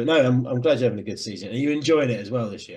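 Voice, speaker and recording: A man with a Southern English accent talks at a very fast pace. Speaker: rugby podcast host. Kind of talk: casual chat.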